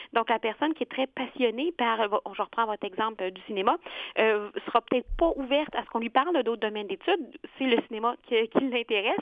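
A woman speaks fairly quickly in a plain, everyday voice. Her pitch is fairly high, with ordinary pitch variation. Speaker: career counselor. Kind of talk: expert interview.

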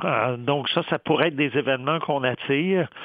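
At a fairly slow pace, a man talks in a normal speaking voice with a fairly high pitch. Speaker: economics professor, columnist. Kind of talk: radio commentary.

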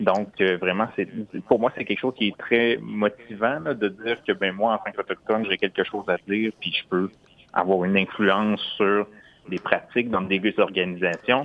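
A man with a plain, everyday voice and fairly low pitch speaks at a moderate pace with fairly even intonation. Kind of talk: interview.

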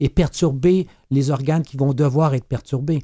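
On a very clean recording with a silent background and a dry, close sound free of echo, a man speaks at a moderate pace in a dark, mellow tone. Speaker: medical doctor and author. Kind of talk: radio interview. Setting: studio.

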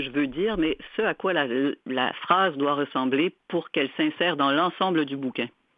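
Moderate-speed speech from a woman, her pitch varying in an ordinary way. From Ontario, Canada (Franco-Ontarian). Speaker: novelist. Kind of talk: interview.

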